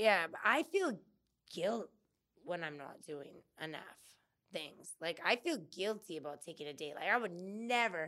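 A woman's normal speaking voice, fairly low in pitch, with lively intonation and a moderate pace. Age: 40s. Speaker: landscaper and floral designer. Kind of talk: casual interview. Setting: studio.

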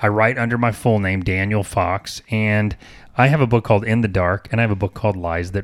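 Reading in a natural voice

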